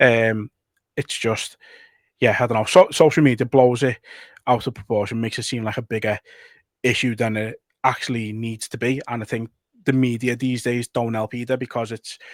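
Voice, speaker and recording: A man with a Liverpool accent speaks at a medium pitch and moderate pace in a flat monotone, leaving long, frequent pauses, with a dry, close sound and no echo. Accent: Scouse. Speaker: football podcast co-host. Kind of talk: casual chat.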